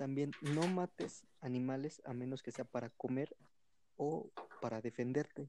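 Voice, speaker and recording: Speaking with a Mexican accent, a man with a medium pitch and a dark, mellow tone talks at a fairly slow pace with ordinary pitch variation. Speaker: podcast host. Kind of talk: casual chat.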